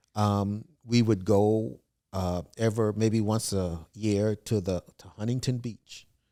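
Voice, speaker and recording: A man with an American accent speaks very slowly in a dark, mellow tone, his fairly low pitch kept fairly even. His loudness swings widely, and the recording is very clean with a silent background. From US South, South Carolina (Williamsburg County). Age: 60s. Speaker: historic preservationist and author. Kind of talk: interview.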